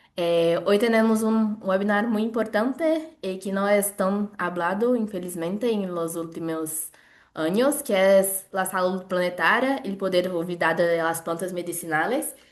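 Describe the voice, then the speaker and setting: A woman with a Brazilian accent speaks at a fairly slow pace and medium pitch, with ordinary pitch variation. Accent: non-native Spanish, Brazilian. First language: Portuguese (speaking Spanish). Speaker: webinar moderator, family doctor. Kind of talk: event introduction. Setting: video call webinar. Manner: halting.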